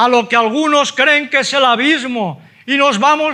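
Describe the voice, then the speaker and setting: At a fairly slow pace, a man with an extremely high pitch uses a raised, projected voice and ordinary pitch variation. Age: 70s. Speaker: preacher. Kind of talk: sermon.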